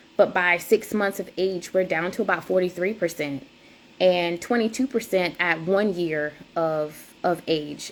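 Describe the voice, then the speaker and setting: In a South Carolina Lowcountry accent, a woman is speaking. Her pitch is fairly low. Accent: Gullah Geechee, Charleston and country. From US South, rural South Carolina (Cross, near Charleston). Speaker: doula and lactation counselor. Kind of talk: presentation. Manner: hesitant, many fillers.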